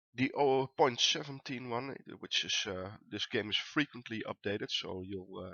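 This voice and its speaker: A man with a Dutch accent speaks at a moderate pace with ordinary pitch variation. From Netherlands. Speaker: gaming YouTuber. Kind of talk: let's play commentary. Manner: many filler words (uh).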